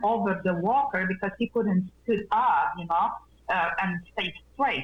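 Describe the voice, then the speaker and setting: Speaking with a Polish accent, a woman keeps a fairly slow pace and ordinary pitch variation. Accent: non-native English, Polish. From Poland. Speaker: nurse and wellness practitioner. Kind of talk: interview. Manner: animated.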